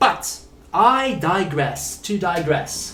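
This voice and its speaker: Here a man is speaking. Room echo is audible. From South Africa. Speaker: English teacher. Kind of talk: live online lesson.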